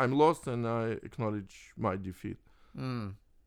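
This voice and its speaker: In a Russian accent, a man talks at a very slow pace with a medium pitch and ordinary pitch variation. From Soviet Union (Russia). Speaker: chess grandmaster. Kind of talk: interview. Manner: halting.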